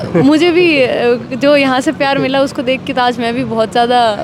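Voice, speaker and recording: A woman with a high voice at a moderate pace, ordinary pitch variation, and noticeable background noise. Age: 20s. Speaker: student politician. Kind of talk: interview. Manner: hesitant with fillers.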